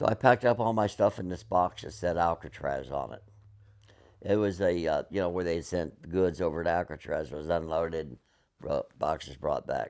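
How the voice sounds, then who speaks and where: A man speaks with very deep, low pitch and vocal fry. His pace is moderate. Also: ordinary pitch variation, very clean recording, silent background. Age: 70s. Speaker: Vietnam War veteran. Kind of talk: oral history interview. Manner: halting, with many fillers and restarts.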